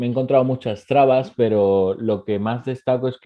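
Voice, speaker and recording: At a fairly quick pace, a man talks in a plain, everyday voice with fairly even intonation. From Ecuador. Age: 20s. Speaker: entrepreneur. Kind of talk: interview.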